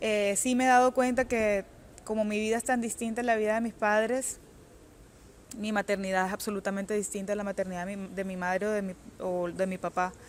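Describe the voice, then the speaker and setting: Fairly even in intonation, a woman delivers her words at a fairly quick pace. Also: medium pitch for a woman. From Colombia, Cartagena. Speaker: author. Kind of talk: interview. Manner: halting.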